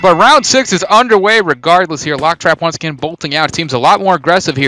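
High-pitched man with lively intonation, dry, close sound with no echo, noticeable background noise. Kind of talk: live commentary.

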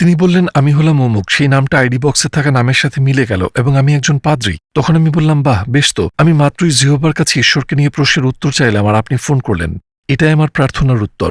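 A man speaks at a fairly high pitch in a somewhat breathy voice with ordinary pitch variation. His loudness stays very even, and the sound is dry and close with no echo. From California. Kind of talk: interview testimony.

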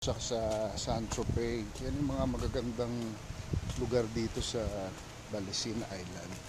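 Noticeable background noise under a man's fairly slow speech. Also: ordinary pitch variation, dry sound with no echo. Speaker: travel vlogger. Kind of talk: casual live-stream tour chat. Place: beach. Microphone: phone near.

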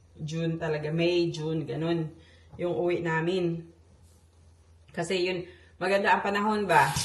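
At a moderate pace, the speaker keeps a monotone, flat intonation with long, frequent pauses, over noticeable background noise and audible room echo. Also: woman, fairly low pitch for a woman. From Philippines, Cebu. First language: Cebuano (speaking Tagalog). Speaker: vlogger. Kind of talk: casual vlog monologue. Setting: at home. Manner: halting, many fillers.

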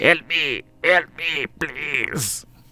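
A croaky, put-on character voice. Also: man.

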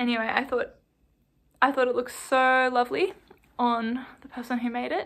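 In an Australian accent, a woman speaks at a moderate pace with a high pitch. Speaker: knitting vlogger. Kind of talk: casual vlog talk; casual vlog chat. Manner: animated. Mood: relaxed, chatty. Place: home room. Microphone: phone near.

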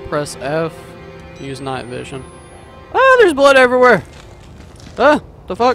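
A man shouts at a high pitch with very wide pitch swings and big swings in loudness, at a moderate pace broken by long, frequent pauses. Faint music plays in the background, and the sound is dry with no echo. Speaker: gamer. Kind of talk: let's play commentary. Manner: screams and yells at jump scares. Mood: scared, startled exclamations. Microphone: studio mic.

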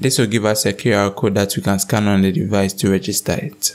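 A man's fairly low-pitched voice at a fairly quick pace, with little pitch movement.

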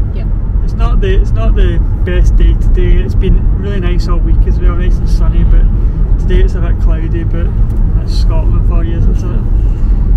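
Loud background noise runs behind a man talking at a moderate pace. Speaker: vlogger. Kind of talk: casual vlog chat. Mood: relaxed and cheerful. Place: car. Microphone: phone near.

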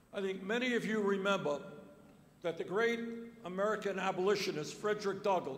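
A man speaks in a room with audible echo. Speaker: candidate. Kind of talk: campaign speech. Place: hall. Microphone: podium.

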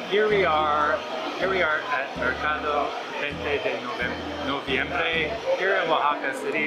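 Fairly slow delivery with clear music in the background. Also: man. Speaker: travel vlogger. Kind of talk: casual vlog chat. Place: market. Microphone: phone near.

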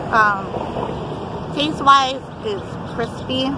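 Amid noticeable background noise, a woman speaks in a raised, projected voice. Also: dry sound with no echo. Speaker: vlogger. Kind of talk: casual vlog chat. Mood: upbeat, friendly. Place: open country. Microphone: phone near.

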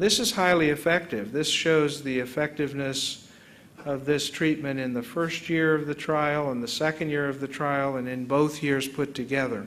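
A man with an American accent has an unremarkable speaking voice, fairly high in pitch. He talks at a moderate pace with fairly even intonation. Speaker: neurologist, visiting lecturer. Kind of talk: academic lecture. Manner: conversational, explanatory.

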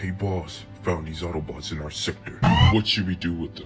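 Over clear background music, a man puts on a character voice pitched very deep and low. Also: moderate pace.

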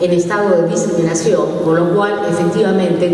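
Amid strong room echo and light background noise, a woman speaks at a moderate pace with a fairly low pitch. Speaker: speaker. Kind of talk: public talk / lecture. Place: hall. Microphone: camera far.

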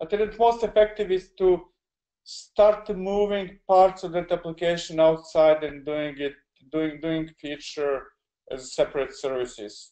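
A man's high voice in a dark, mellow tone, fairly slow with lively intonation. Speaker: software delivery consultant. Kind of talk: webinar Q&A. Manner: halting, many fillers.

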